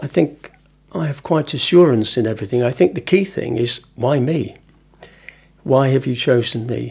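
Speaking at a moderate pace, a man with a medium-pitched, somewhat breathy voice uses ordinary pitch variation. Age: 70s. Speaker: retired outdoor education worker. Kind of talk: testimony.

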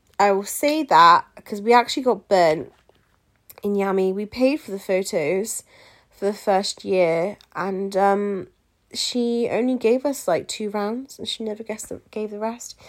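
The speaker uses an English accent and moves at a fairly slow pace. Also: woman, medium pitch for a woman, ordinary pitch variation, big swings in loudness. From England. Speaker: podcast host, pageant queen. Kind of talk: casual advice monologue.

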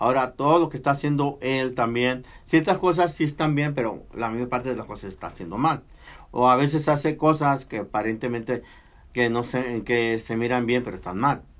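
A man with a plain, everyday voice and medium pitch speaks at a moderate pace with ordinary pitch variation. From Mexico. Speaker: radio host. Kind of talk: casual chat.

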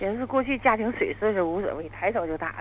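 A woman talks at a very fast pace. Her voice rises and falls in very wide pitch swings. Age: 40s. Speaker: caller. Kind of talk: phone-in confession.

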